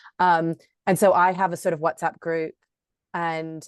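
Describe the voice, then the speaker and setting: At a moderate pace and fairly low pitch, a woman with an American accent talks against a quiet background, the sound dry and close with no echo. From Florida, US. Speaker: yoga teacher. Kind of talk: casual chat, getting feedback. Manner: casual, many fillers like 'um' and 'like'.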